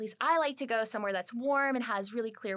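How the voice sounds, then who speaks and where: On a very clean recording with a silent background, a plain, everyday voice moves at a fairly quick pace with lively intonation. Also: woman. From US Midwest, small-town Ohio. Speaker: marine biology professor. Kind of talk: interview conversation.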